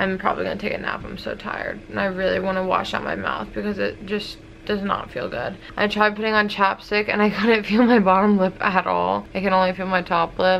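A woman at a fairly quick pace with hardly any pauses, over light background noise. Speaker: vlogger. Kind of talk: casual vlog chat. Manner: drowsy, numb, low-energy voice. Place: home room. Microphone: phone near.

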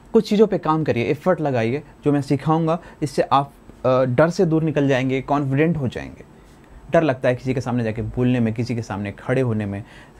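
Pitch moves in an ordinary way in this voice. It belongs to a man speaking at a moderate speed. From rural India, village farming family. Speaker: spoken English and personality development teacher; personality development teacher. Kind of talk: tutorial. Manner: halting, with filler sounds. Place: studio. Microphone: lapel.

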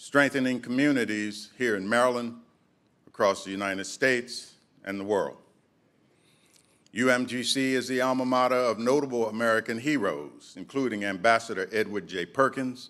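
Speaking at a moderate pace, a man lets his pitch vary in an ordinary way. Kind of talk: formal ceremonial speech. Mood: formal, proud. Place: hall. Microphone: podium.

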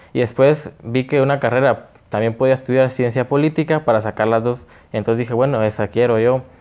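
A man talks at a fairly quick pace, his intonation staying fairly even. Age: 20s. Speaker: political candidate; candidate. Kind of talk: interview. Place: studio. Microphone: lapel.

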